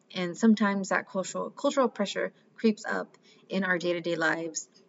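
This woman has a normal speaking voice with an American accent. She talks at a moderate pace at a medium pitch with ordinary pitch variation. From Mexican American, US. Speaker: life coach. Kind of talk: solo podcast monologue.

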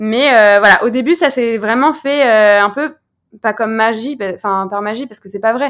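On a very clean recording with a silent background, a woman speaks in a plain, everyday voice, fairly high in pitch, at a moderate pace with ordinary pitch variation. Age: 20s. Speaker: founder of a lingerie brand. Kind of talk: interview.

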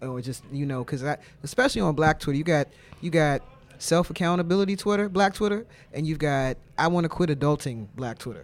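Speaking in an American accent, a man uses a plain, everyday voice, fairly high in pitch, with lively intonation. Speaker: podcast host. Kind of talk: casual interview.

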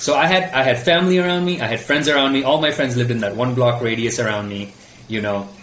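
A man talks at a very fast pace with lively intonation over noticeable background noise. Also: medium pitch for a man. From Mumbai, India. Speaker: filmmaker and video producer. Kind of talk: interview. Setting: remote call. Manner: halting.

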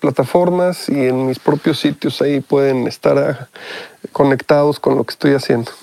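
A man with a fairly high pitch speaks at a moderate pace with fairly even intonation. The sound is dry and close with no echo. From Mexico. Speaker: musician and music producer. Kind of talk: interview.

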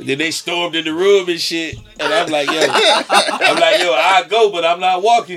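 A man's high-pitched voice at a moderate pace, with fairly even intonation and noticeable background noise. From Connecticut (Avon, near Hartford). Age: 30s. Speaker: rapper. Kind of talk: casual chat.

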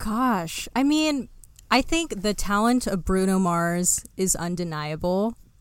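A woman speaks fairly slowly at a medium pitch, her tone animated and her intonation lively. The recording is very clean with a silent background. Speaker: YouTuber. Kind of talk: casual chat.

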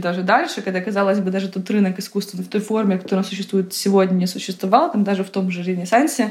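A woman's medium-pitched voice at a very fast pace, fairly even in intonation, with noticeable background noise. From Ukraine, Kyiv. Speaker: art advisor. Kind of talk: interview.

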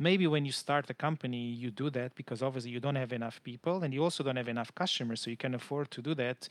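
A man speaks in a Portuguese accent at a very fast pace. He hardly pauses at all. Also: medium pitch for a man, ordinary pitch variation, very clean recording, silent background. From Portugal, Lisbon. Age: 30s. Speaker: customer support manager. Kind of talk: interview.

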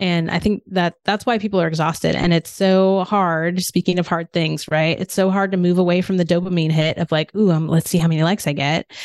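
In a dry, close sound with no echo, a woman's words come at a fairly quick pace. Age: 50s. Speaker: business owner, automation agency founder. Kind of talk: casual interview.

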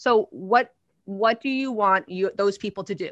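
With a New Jersey accent, a woman speaks in an animated, bright, sharp tone at a fairly high pitch, in a dry, close sound with no echo and a quiet background. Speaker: publicity and media coach. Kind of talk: casual interview chat.

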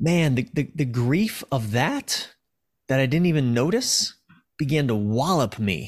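On a very clean recording with a silent background, a man speaks fairly slowly at medium pitch, with lively intonation, very even loudness and long, frequent pauses. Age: 40s. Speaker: author and relationship coach. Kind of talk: interview conversation. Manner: halting, frequent repetitions.

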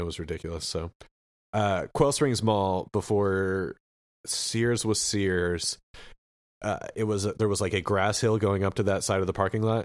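With an American accent, a man talks in a very deep, low voice on a very clean recording with a silent background. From Oklahoma. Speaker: podcast host. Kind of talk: casual chat.

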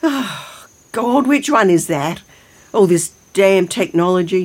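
A woman puts on a character voice with a slightly mellow tone, a slightly husky edge, and lively intonation, speaking at a slow pace. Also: fairly low pitch for a woman.

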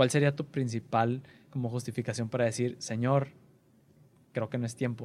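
With a Mexican accent, a man speaks at a medium pitch in a flat monotone, leaving long, frequent pauses. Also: moderate pace. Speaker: podcast host. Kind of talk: casual interview.

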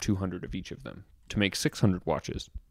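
A man speaks very fast in a fairly low voice, recorded very cleanly against a silent background with a dry, close sound and no echo. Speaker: watch journalist. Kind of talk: casual chat.

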